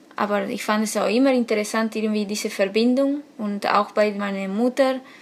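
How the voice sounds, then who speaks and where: A woman's fairly high, monotone, flat voice against noticeable background noise. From Argentina. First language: Spanish (speaking German). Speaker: author and illustrator. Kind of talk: interview. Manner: halting.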